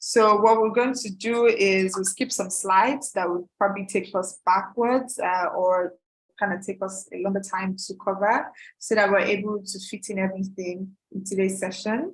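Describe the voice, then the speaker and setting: An unremarkable speaking voice from a woman, medium-pitched, with fairly even intonation and a moderate pace. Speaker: product trainer for a website builder company. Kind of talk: live online training webinar. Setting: livestream with screen sharing.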